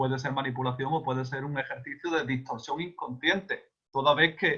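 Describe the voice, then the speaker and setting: At a moderate pace, a man speaks with an Andalusian accent and fairly even intonation. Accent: Andalusian (Seville). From Spain, Seville (Andalusia). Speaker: speaker on communication and advocacy. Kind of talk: online talk / lecture. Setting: video call.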